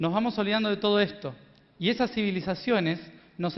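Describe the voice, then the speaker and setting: The man's speech shows ordinary pitch variation. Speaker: spiritual speaker. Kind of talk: lecture.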